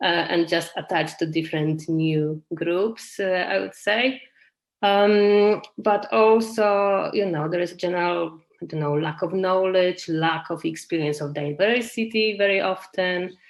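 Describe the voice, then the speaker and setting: At a fairly slow pace, a woman with a Polish accent speaks at a medium pitch with ordinary pitch variation. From Poland. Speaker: community garden project leader. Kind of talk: webinar talk. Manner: hesitant, many fillers.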